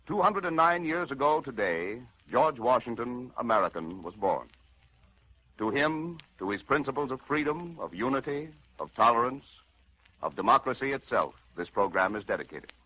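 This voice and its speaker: Very wide pitch swings, vocal fry and long, frequent pauses at a moderate pace. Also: man, fairly high pitch for a man. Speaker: radio actor. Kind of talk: dramatic radio narration. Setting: 1940s radio broadcast.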